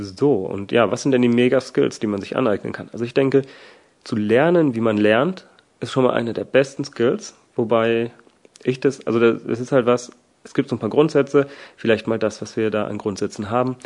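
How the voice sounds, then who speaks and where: Delivery comes at a moderate pace. Pitch varies in an ordinary way. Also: man, medium pitch for a man. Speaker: podcaster. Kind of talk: solo podcast monologue. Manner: casual, with frequent fillers.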